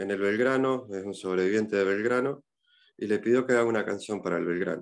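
In an Argentine accent, a man talks at a fairly low pitch with ordinary pitch variation. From Argentina. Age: 40s. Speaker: son of war veteran. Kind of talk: interview. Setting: video call. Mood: reflective, personal family memories. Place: home room. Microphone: video call.

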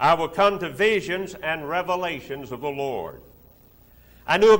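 A man with a bright, sharp tone speaks at a moderate pace with ordinary pitch variation. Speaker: preacher. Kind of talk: sermon. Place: hall. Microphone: podium.

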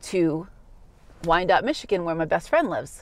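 A woman with an American accent is heard in a dry sound with no echo. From Massachusetts, USA. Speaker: English teacher. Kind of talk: personal story told to camera for learners. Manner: slow, clear. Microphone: phone near.

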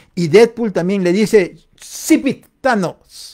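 There is a quiet background as a man talks. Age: 40s. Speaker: livestream host. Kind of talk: casual livestream chat. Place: home room. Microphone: studio mic.

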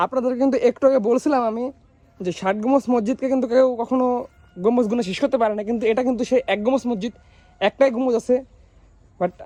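Recorded dry and close with no echo, a man speaks at an extremely high pitch with fairly even intonation. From Bangladesh, Bagerhat. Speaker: travel vlogger. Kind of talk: vlog walking tour narration.

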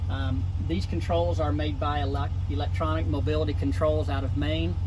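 A man's very deep, low voice at a fairly quick pace, monotone and flat, with noticeable background noise. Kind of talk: product demonstration. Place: car.

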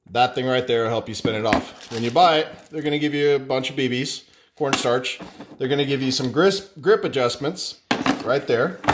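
With ordinary pitch variation and a moderate pace, a man talks through noticeable background noise. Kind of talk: casual unboxing vlog chat. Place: kitchen. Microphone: phone near.

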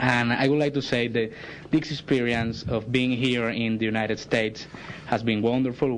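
A man speaks in a flat monotone with a Spanish accent, over noticeable background noise and audible room echo. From Venezuela. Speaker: visiting delegation spokesman. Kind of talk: public address. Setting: council chambers. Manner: halting.

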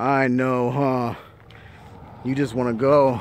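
The recording of a man's voice is dry, with no echo. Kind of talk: casual vlog chat. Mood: affectionate, laughing. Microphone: phone near.

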